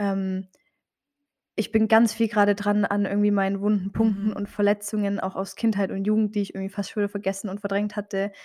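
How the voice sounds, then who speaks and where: A woman talks fairly quickly in a medium pitch with a dark, mellow tone and monotone, flat intonation, captured in a very clean recording with a silent background. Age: 20s. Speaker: theology student and Instagram creator. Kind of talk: interview. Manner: hesitant, many filler sounds.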